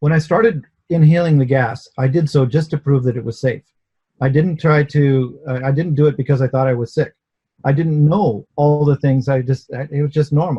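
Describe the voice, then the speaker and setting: A man with a fairly high, somewhat breathy voice and a dark, mellow tone speaks at a moderate pace with fairly even intonation, the sound dry and close with no echo. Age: 60s. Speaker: inventor. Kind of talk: interview testimony. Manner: hesitant, with repetitions.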